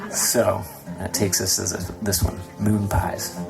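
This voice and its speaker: Over background music and audible room echo, a man speaks fairly slowly in a fairly low, monotone voice with flat intonation. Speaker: folk duo musician. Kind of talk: stage banter between songs. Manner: hesitant, many fillers.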